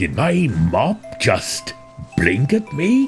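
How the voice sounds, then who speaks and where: A man uses a put-on character voice at a fairly high pitch, with clear music in the background. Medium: read story. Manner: quiet, terse.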